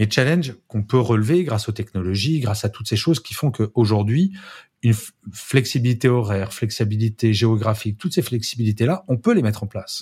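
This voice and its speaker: This very clean recording has a silent background. A man speaks at a medium pitch and a fairly quick pace, somewhat breathy, with ordinary pitch variation. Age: 50s. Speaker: speaker and management author. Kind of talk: casual interview chat.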